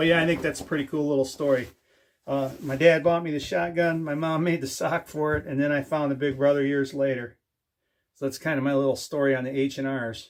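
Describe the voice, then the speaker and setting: A man with a Michigan accent at a fairly quick pace, fairly even intonation, on a very clean recording with a silent background. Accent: US Midwest (Michigan). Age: 50s. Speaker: DIY and firearms YouTuber. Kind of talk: casual show-and-tell video. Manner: conversational with fillers.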